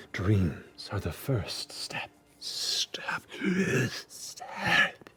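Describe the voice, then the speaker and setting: A man whispers in a put-on character voice. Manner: echoing, repetitive.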